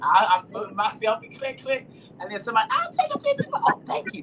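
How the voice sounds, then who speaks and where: Very fast and animated, a woman talks with lively intonation. Noticeable background noise sits behind her. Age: 60s. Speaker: livestream host. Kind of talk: casual chat.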